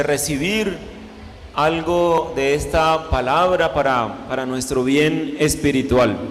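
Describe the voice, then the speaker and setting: Amid noticeable background noise and audible room echo, a man speaks at a very slow pace and a fairly high pitch, with ordinary pitch variation. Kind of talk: sermon.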